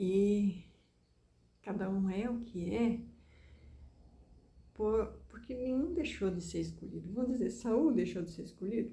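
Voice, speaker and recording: A woman with a rural Rio Grande do Sul accent, medium pitch, dark and mellow tone, somewhat breathy, lively intonation, fairly slow pace with long, frequent pauses, and audible room echo. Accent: somewhat rural gaúcho. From southern Brazil, Rio Grande do Sul. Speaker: preacher. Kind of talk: sermon-style talk.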